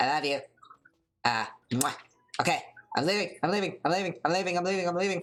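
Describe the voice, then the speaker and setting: Someone does a put-on character voice at a middle pitch, talking at a very fast pace yet with long, frequent pauses. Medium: game stream. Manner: sarcastic, flippant.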